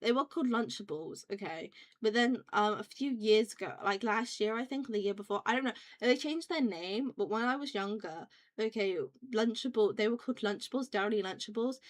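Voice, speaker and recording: A woman with a British accent speaks at a fairly quick pace and a fairly high pitch, with ordinary pitch variation. The recording is very clean, with a silent background. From UK. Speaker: vtuber streamer. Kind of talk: casual chat. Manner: rambling, fast with many fillers.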